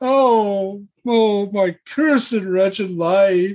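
The voice is a put-on character. Its pitch runs fairly high. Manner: wailing, lamenting.

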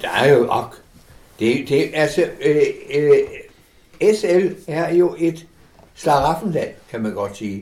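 At a very slow pace, a man speaks at a high pitch with very wide pitch swings. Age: 80s+. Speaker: interviewee, older online gamer. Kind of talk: casual interview. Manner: halting.

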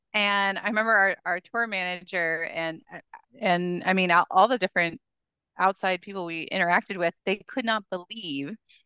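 Moderate pace and ordinary pitch variation in a bright, sharp tone, with a dry, close sound, no echo and a quiet background. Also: woman. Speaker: history teacher and department chair. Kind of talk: casual conversation.

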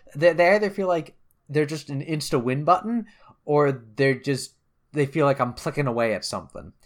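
Lively intonation marks a plain, everyday voice moving at a moderate pace. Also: man, fairly high pitch for a man. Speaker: video game podcast host. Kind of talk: casual chat.

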